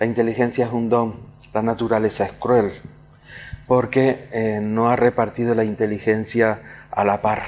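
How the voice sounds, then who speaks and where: A man of medium pitch talks at a moderate pace with monotone, flat intonation. Long, frequent pauses break up his speech, and there is noticeable background noise. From Canary Islands, Tenerife (La Laguna). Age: 70s. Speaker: writer and poet. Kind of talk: interview. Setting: room in a casino club, recorded interview. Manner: halting, with fillers.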